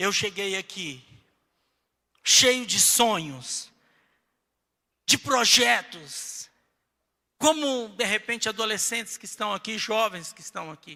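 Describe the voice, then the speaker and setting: This man's pitch sits high, his tone is bright and sharp, and his intonation is lively. He speaks at a very slow pace with long, frequent pauses and big swings in loudness. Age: 60s. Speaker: pastor. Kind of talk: sermon.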